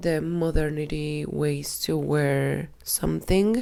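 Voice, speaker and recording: A woman with a Spanish accent at a very slow pace. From Colombia. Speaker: fashion designer and vlogger. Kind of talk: casual vlog talk. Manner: halting.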